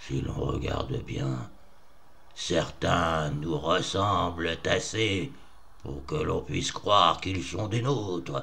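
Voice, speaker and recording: In a put-on character voice, a man speaks loudly at a very slow pace with a very deep, low pitch, over clear background noise. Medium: read story. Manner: oratorical, studied inflections.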